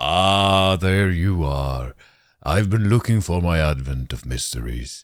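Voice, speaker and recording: A booming, put-on character voice, fairly slow and lively in intonation. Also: man, very deep, low pitch for a man. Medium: audio drama. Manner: hearty, jovial.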